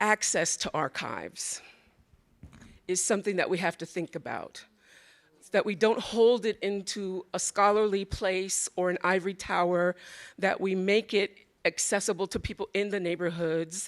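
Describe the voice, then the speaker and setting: A woman's normal speaking voice at a medium pitch and moderate pace, with fairly even intonation, a dry, close sound with no echo, and a very clean recording with a silent background. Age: 60s. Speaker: audience member, art registrar. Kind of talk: audience comment at panel Q&A.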